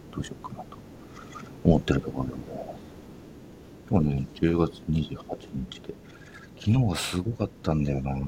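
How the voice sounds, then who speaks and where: A man's very deep, low voice in a relaxed tone, at a moderate pace, with lively intonation, big swings in loudness, long, frequent pauses and noticeable background noise. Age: 40s. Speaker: podcast host. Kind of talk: casual monologue. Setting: home storage room studio. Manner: relaxed, laughing.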